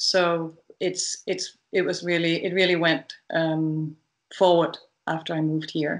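Against a quiet background, a woman with a Danish accent speaks at a fairly slow pace. Her fairly low voice stays flat and monotone. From Denmark. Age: 50s. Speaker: dressage rider and trainer; trainer. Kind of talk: interview. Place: home room. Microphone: video call.

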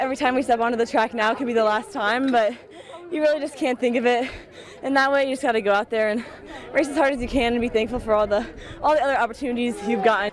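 Crowd noise fills the background as a woman speaks very fast in a high pitch with fairly even intonation, the sound dry with no echo. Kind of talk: interview answer. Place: stadium. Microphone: handheld.

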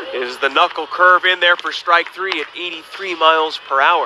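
A man's moderately paced speech comes through with noticeable background noise behind it. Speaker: baseball radio broadcaster. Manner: brisk, upbeat play-by-play, pitch-by-pitch calls with stat asides.

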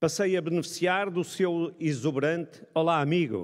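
A man's plain, everyday voice at a fairly slow pace, with ordinary pitch variation and a quiet background. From Braga, northern Portugal; northern Portugal. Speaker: economics professor. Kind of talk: ceremonial speech. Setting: stage with audience. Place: hall. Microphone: podium.

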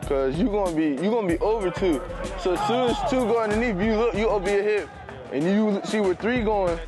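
A man talks at a fairly quick pace over clear background music. The sound is dry, with no echo. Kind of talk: casual sideline talk. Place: stadium. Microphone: lapel.

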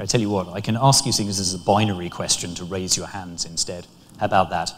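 A man talks at a moderate pace in a fairly low pitch.

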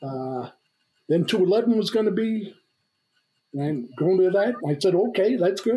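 Here a man speaks at a fairly slow pace with an American accent. The background is quiet. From New York (Brooklyn). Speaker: retired navy reconnaissance officer. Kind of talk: casual interview. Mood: relaxed, reminiscing. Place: home room. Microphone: webcam.

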